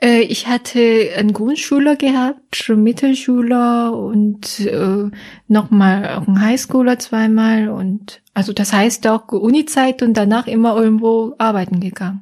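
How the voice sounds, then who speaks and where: A woman's fairly high, somewhat breathy voice with a dark, mellow tone and a Korean accent, fairly slow and fairly even in intonation. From South Korea, Seoul. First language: Korean (speaking German). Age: 30s. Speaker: psychologist. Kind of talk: casual interview. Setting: her office.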